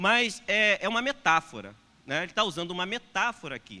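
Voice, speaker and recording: On a very clean recording with a silent background, a man projects a raised, high-pitched voice with a bright, sharp tone at a moderate pace. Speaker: pastor. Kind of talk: sermon. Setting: church. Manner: hesitant with fillers. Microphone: unfamiliar new microphone.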